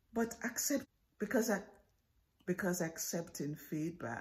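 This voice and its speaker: A woman speaks with vocal fry. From Jamaica. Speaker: professor. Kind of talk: persuasive speech.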